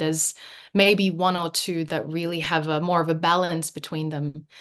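A woman with an Australian accent speaks at a fairly quick pace. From Western Sydney, Australia (moved from Philippines at nine). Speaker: painter. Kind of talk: casual chat.

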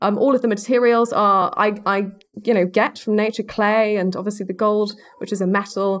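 Her British accent carries a monotone, flat intonation as the woman speaks. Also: medium pitch for a woman, moderate pace. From Spain (born in Macclesfield, England). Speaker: wildlife filmmaker. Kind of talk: casual interview chat.

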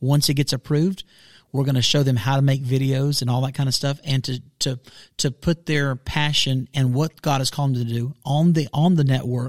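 A man's medium pitch holds a fairly even intonation in a dry, close sound with no echo. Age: 40s. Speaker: pastor. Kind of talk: casual chat. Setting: studio.

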